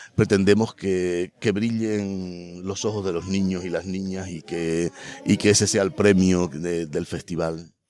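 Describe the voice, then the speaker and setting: A man with a very deep, low pitch and a dark, mellow tone speaks at a fairly slow pace with fairly even intonation. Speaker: festival director and university lecturer. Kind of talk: interview. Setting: on location at a festival.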